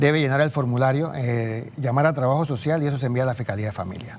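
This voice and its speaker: A man with a fairly high voice talks at a very fast pace. His pitch variation is ordinary. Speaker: geriatrician. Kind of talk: TV news interview.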